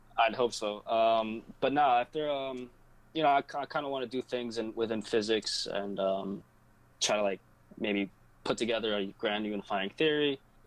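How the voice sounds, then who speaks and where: Over a quiet background, a man with an ordinary speaking voice talks at a moderate pace, with medium pitch and ordinary pitch variation. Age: 20s. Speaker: college student. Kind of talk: casual chat.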